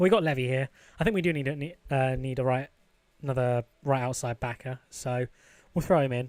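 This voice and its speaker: In a British accent, a man speaks fairly quickly at a fairly high pitch with ordinary variation, on a very clean recording with a silent background and a dry, close sound with no echo. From UK. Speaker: gaming YouTuber. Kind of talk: gameplay commentary. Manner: casual, conversational.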